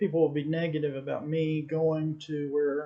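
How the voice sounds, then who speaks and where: With an American accent, a man speaks at a moderate pace in a fairly high pitch with fairly even intonation over noticeable background noise. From Texas. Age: 60s. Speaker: amateur photographer. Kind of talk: casual vlog monologue. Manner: halting, many fillers.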